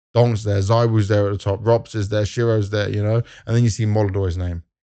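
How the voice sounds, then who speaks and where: Against a quiet background, a man with a strong British accent speaks fairly quickly in a fairly low, monotone, flat voice with a dark, mellow tone. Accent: heavily British. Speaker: esports presenter. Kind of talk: casual video commentary. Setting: at an esports event.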